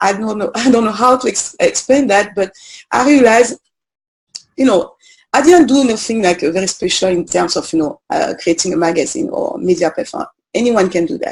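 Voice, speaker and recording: The speaker talks at a fairly quick pace with a French accent. The voice is somewhat breathy and swings very widely in pitch. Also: woman, fairly high pitch for a woman. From French Guiana. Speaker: journalist and media founder. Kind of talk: interview. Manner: hesitant, many fillers.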